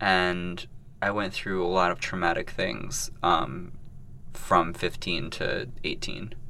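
Very slow and very deep, a man's bright, sharp voice with an American accent and ordinary pitch variation carries audible room echo. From US Midwest, Columbus, Ohio. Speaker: artist. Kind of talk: interview.

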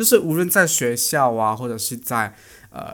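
The man's voice has a bright, sharp tone. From Malaysia. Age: 20s. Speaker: podcast host, student. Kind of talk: casual solo podcast talk. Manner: chatty, animated.

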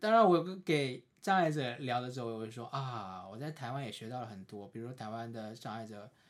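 This man has a plain, everyday voice with medium pitch. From China, Suzhou, Jiangsu. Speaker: visually impaired counseling PhD student. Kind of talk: casual chat.

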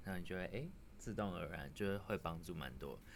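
A man's very deep, low voice with vocal fry and audible room echo. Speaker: tech startup engineer, guest interviewer. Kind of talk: casual chat.

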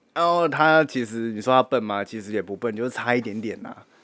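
Ordinary pitch variation runs through a man's fairly quick delivery. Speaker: podcast co-host. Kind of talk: casual chat. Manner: animated, laughing often.

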